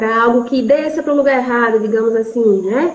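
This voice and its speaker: Music plays in the background as a woman speaks at a high pitch with ordinary pitch variation. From Brazil, Recife. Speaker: speech therapist and university lecturer. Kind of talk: online panel discussion.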